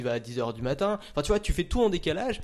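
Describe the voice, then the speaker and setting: A man speaks at a fairly quick pace in a plain, everyday voice. The recording is very clean, with a silent background. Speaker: content creator. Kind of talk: casual chat.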